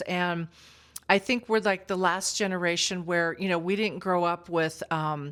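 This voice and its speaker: Speaking at a moderate pace in a medium pitch, a woman is heard on a very clean recording with a silent background. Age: 60s. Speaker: psychic medium and vlogger. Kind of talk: casual chat. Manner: halting, many fillers.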